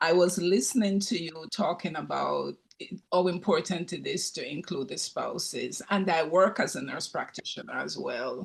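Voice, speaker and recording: Speaking at a moderate pace, a man leaves hardly any pauses. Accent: Jamaican. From Jamaica. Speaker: retired nursing professor and nurse practitioner. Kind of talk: audience comment in Q&A.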